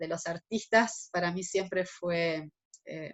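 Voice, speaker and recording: A woman's medium-pitched voice, fairly slow and fairly even in intonation. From Argentina. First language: German (speaking Spanish). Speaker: interviewee, artist. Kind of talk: interview.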